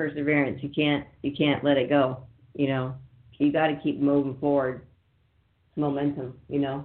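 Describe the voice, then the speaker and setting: With an American accent, a woman speaks at a very deep, low pitch. Her pace is moderate, broken by long, frequent pauses. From northern California. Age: 50s. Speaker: cannabis radio host. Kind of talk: radio interview. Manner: animated.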